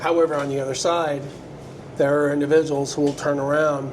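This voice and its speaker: An American accent amid audible room echo and noticeable background noise. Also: man. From US West Coast, San Francisco Bay Area. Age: 50s. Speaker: QA engineer and artist. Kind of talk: casual interview.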